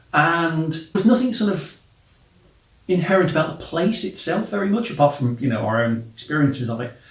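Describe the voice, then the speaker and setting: Noticeable background noise behind a man's fairly high voice, very wide pitch swings and a fairly quick pace. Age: middle-aged. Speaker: travel podcaster and blogger. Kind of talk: casual monologue.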